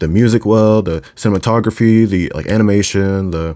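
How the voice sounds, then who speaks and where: A man talks in a medium pitch with a dark, mellow tone. The recording is very clean, with a silent background. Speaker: video essayist / reviewer. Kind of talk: casual monologue review. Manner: halting, many fillers and restarts.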